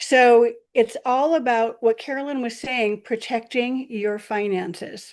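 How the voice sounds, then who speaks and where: The speech has a plain, everyday voice. Its pitch varies in an ordinary way over a quiet background. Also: woman. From Michigan. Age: 60s. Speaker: network marketing distributor. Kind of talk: presentation. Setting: video call.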